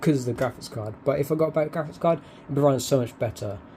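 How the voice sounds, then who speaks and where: Speaking with a British accent, a man uses a fairly high pitch. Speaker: YouTuber. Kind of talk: setup tour video. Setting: home bedroom. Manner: fast. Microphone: cheap mic wrapped in foam.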